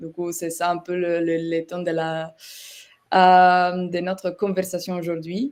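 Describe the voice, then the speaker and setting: A fairly low, monotone, flat female voice with a slight Italian accent at a very slow pace. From Italy. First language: Italian (speaking French). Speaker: software partnerships manager, webinar guest. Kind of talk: webinar presentation. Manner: hesitant, many fillers.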